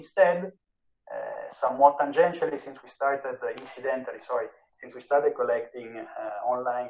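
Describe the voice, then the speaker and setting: A man speaks fairly quickly. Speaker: economics researcher presenting a paper. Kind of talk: academic seminar talk. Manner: hesitant, many fillers and repetitions.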